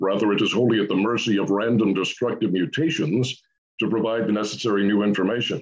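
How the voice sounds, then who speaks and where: A man's resonant, fairly low-pitched voice races along at a very fast pace, with very even loudness and fairly even intonation. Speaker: creationist scientist. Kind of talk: interview.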